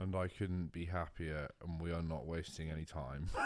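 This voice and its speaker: A man with a British accent talks at a moderate pace in a relaxed tone. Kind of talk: casual chat. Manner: relaxed, monotone.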